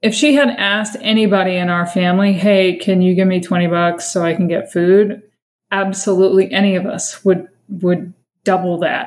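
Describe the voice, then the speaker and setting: An ordinary speaking voice comes with an American accent. The pace is moderate and the intonation fairly even. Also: woman, medium pitch for a woman. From Massachusetts, US. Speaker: sister of a missing person, advocate. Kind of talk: interview testimony.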